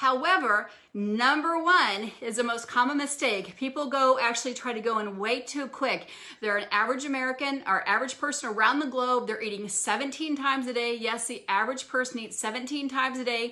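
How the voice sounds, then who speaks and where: Over noticeable background noise, a woman talks fairly quickly at a high pitch with ordinary pitch variation. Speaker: wellness physician. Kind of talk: live stream health talk. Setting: live social media video. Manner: fast.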